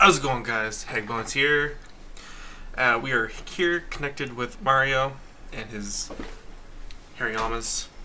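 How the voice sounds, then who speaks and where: A man at medium pitch and a fairly slow pace, with long, frequent pauses, ordinary pitch variation and audible room echo. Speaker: gaming youtuber. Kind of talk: gameplay commentary. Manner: soft-spoken; halting.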